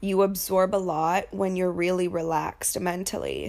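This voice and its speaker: A woman's voice with vocal fry and fairly even intonation, on a very clean recording with a silent background. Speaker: confidence coach and podcast host. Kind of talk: casual solo podcast monologue.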